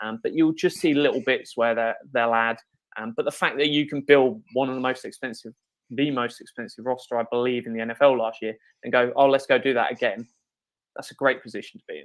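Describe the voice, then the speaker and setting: A man with a British accent at a fairly quick pace, big swings in loudness, over a quiet background. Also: medium pitch for a man, fairly even intonation. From Britain. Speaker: salary cap analyst, sports writer. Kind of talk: sports interview. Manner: calm.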